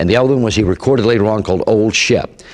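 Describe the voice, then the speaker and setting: This is a man speaking. His voice has vocal fry. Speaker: radio disc jockey, show host. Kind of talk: interview answer, storytelling.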